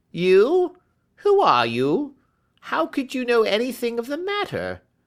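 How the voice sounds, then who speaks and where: A put-on character voice, whiny and shaky, comes at a fairly slow pace and fairly high pitch. The recording is very clean with a silent background. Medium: read story. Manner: whining, nervous.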